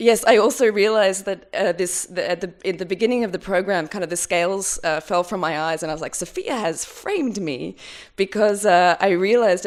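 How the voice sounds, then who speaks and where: Ordinary pitch variation marks the speech of a woman with an Australian accent. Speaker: curator and researcher. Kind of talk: academic conference talk. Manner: fast; halting, many fillers.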